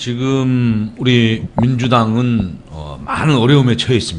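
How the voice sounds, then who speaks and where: This is a man speaking. Noticeable background noise and audible room echo come through in the recording. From South Korea, Gangneung, Gangwon Province. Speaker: political campaign strategist hosting a web show. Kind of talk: casual comedic talk show chat.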